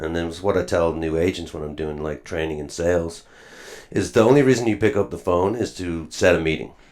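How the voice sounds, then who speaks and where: A man with an Irish accent speaks in a very deep, low pitch with vocal fry. His pace is fairly quick and his pitch variation ordinary. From Ireland (Wicklow). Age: 30s. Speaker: real estate agent. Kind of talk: casual podcast interview.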